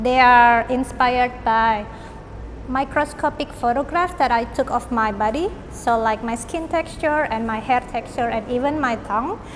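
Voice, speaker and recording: A woman speaks with an Indonesian accent at a high pitch. Her pace is moderate, with ordinary pitch variation. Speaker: artist and visual arts lecturer. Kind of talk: artist talk about own work.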